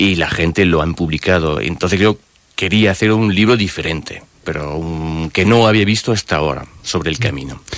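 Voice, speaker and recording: A man's very deep, low voice amid noticeable background noise. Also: ordinary pitch variation, moderate pace. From France. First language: French (speaking Spanish). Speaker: author and personal development coach. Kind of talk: radio interview. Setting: radio studio. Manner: halting.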